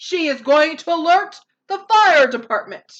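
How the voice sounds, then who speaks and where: A put-on character voice at a moderate pace, full of very wide pitch swings. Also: woman, extremely high pitch for a woman. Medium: read story.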